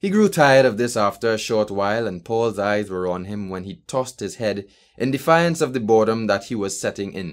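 The text is delivered by reading aloud in a natural voice, and the intonation stays lively.

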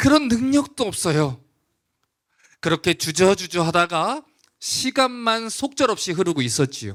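Very wide pitch swings over very even loudness, at a fairly slow pace with long, frequent pauses, in a dry, close sound with no echo and a very clean recording with a silent background. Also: man, high pitch for a man. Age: young. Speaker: pastor. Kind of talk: sermon. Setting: church.

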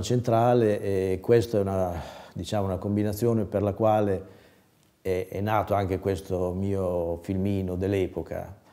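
Over a quiet background, a man talks at a moderate pace with a fairly low pitch, fairly even intonation and a dark, mellow tone. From Bologna, Italy; Italy. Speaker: former amateur filmmaker. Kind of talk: personal reminiscence interview. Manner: halting, with frequent repetitions and fillers. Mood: calm, reminiscing.

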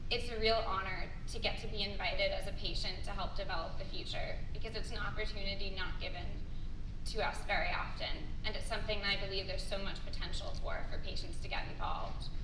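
Someone talks at a very fast pace over noticeable background noise. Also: woman, very even loudness. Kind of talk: conference speech. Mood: grateful, sincere. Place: hall. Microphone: camera far.

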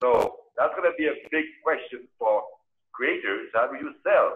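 Someone with a French accent speaks at a fairly slow pace over a quiet background. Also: man. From France. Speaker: cultural diplomat panelist; panelist. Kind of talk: panel discussion. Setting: video call. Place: home room. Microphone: video call.

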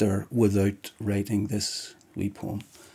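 A man speaks with a Northern Irish accent. His voice sits fairly low in pitch with a dark, mellow tone. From Northern Ireland, County Down; Northern Ireland. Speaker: poet. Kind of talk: interview answer. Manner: halting. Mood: reflective, calm. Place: home room.

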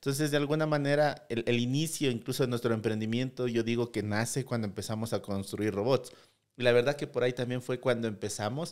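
A man at a fairly quick pace with fairly even intonation, over a quiet background. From Ecuador, Loja province; Ecuador. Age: 30s. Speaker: tech startup CEO; guest. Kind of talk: interview. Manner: halting, many repeated words. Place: studio. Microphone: studio mic.

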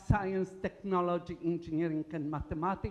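A woman speaks with a Polish accent and ordinary pitch variation. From Poland. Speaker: engineering professor. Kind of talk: conference talk. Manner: animated.

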